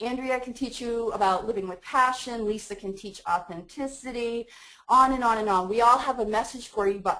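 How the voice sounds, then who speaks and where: Keeping a moderate pace, a woman talks with fairly even intonation. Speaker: life coach, webinar presenter. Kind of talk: webinar presentation. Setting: webinar call.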